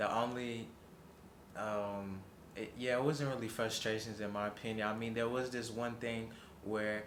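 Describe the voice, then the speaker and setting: Over noticeable background noise and audible room echo, a man with an American accent talks at a moderate pace and medium pitch, in a monotone, flat intonation broken by long, frequent pauses. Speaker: young traveler interviewed about his trip. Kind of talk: casual interview answers. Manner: halting, with many fillers and repetitions.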